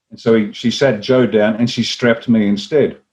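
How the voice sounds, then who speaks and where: A man speaks with an Australian accent at a fairly quick pace. His pitch sits in the medium range. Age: 60s. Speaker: former army officer and party leader. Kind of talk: interview. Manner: animated storytelling.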